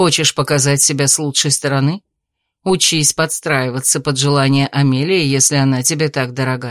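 Reading aloud in a natural voice, fairly even intonation, quiet background

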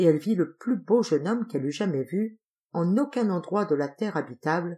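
Lively intonation from an unforced reading voice, quiet background behind it

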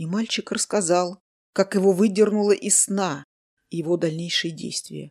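Someone is reading aloud in a natural voice with fairly even intonation, the background quiet.

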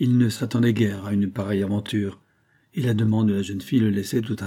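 Someone reads aloud plainly, keeping the intonation fairly even.

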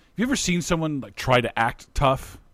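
A man with an unremarkable speaking voice and lively intonation keeps a moderate pace, recorded very cleanly over a silent background. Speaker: podcast co-host. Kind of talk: casual chat.

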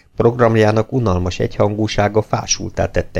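The clip is of reading aloud in a natural voice.

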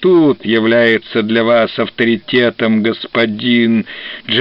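The recording is read in an unforced reading voice.

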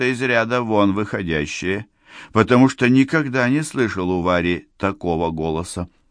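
The clip is plain reading aloud. Its intonation has a lively movement.

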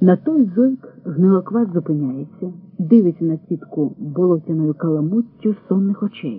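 This is reading aloud in a natural voice. Nothing else is given.

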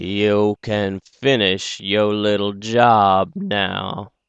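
In a put-on character voice, a man drawls at a very slow pace with a fairly low pitch and fairly even intonation. The recording is dry and close, with no echo. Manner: drawly, slow.

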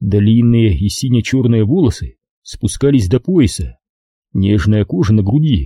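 The speaker reads aloud plainly against a quiet background. Pitch varies in an ordinary way.

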